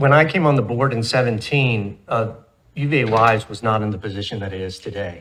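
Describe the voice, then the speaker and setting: An ordinary speaking voice, ordinary pitch variation, and a very clean recording against a silent background. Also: man. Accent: American. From Southwest Virginia. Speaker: university board member. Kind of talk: board meeting remarks. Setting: board room meeting.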